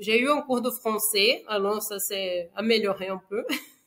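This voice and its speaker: With a Brazilian accent, a woman talks at a fairly high pitch and ordinary pitch variation. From Brazil, Rio de Janeiro. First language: Portuguese (speaking French). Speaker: engineer, widowed mother. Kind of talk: podcast interview testimony. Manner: hesitant, many fillers.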